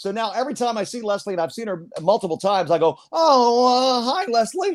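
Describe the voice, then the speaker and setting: A man talks at a fairly quick pace in a high pitch, with an American accent, lively intonation and an animated tone. The recording is very clean, with a silent background. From US Northeast, Philadelphia. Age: 60s. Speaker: play-by-play sports announcer. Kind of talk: casual interview, storytelling.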